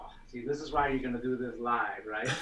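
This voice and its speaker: A man's voice with audible room echo. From Denmark. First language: Danish. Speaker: CAD software expert. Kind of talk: casual chat. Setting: live stream video call.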